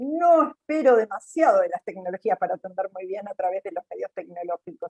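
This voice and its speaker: At a moderate pace, a woman talks in a fairly high pitch with a plain, everyday voice. The sound is dry and close, with no echo. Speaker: panelist from a job training institute. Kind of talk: webinar panel commentary.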